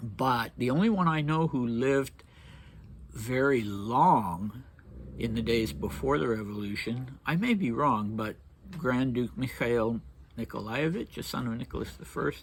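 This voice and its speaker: A man's medium-pitched voice at a fairly slow pace, with lively intonation. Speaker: history channel host. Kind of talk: casual history commentary. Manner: halting.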